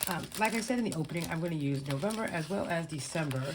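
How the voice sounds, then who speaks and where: With audible room echo, a woman speaks in a very deep, low voice with lively intonation. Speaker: budgeting vlogger. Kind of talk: casual tutorial. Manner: halting, many fillers.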